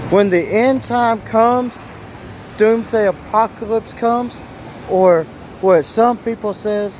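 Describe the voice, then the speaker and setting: A man talks loudly and very slowly in a high voice, his intonation fairly even. Long, frequent pauses break up his speech over noticeable background noise. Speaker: survivalist vlogger. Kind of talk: casual vlog talk to camera. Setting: outdoors on city street.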